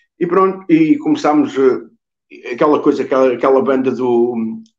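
A man speaks with a central Portuguese accent against a quiet background. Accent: European Portuguese, Coimbra. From Coimbra, Portugal. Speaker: musician, drummer. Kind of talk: interview answer. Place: home room. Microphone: video call.

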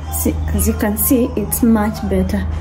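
Clear background music under a woman's voice. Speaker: vlogger. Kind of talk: casual vlog chat. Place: kitchen. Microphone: phone near.

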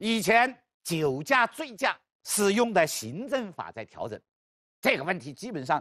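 Against a quiet background, a man speaks in a high voice with very wide pitch swings, the sound dry and close with no echo. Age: 50s. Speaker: law professor. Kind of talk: lecture.

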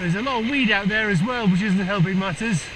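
A man's high voice at a fairly quick pace, ordinary pitch variation, and clear background noise.

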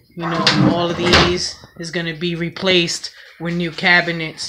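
A woman talks at a fairly slow pace while loud background noise fills the recording. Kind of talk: casual vlog chat. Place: kitchen. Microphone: phone near.

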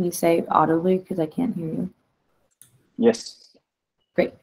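Over a quiet background, a woman talks with ordinary pitch variation. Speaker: community call facilitator. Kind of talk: casual work meeting. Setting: video call. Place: home room.

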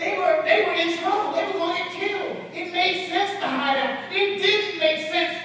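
A man at a moderate pace, heard with strong room echo. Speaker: bishop, preacher. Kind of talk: sermon. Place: church. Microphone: camera far.

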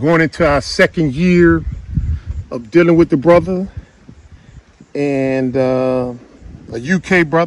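In a dry sound with no echo, a man speaks at a fairly slow pace with ordinary pitch variation. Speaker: farm owner vlogger. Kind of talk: casual vlog chat. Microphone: phone near.

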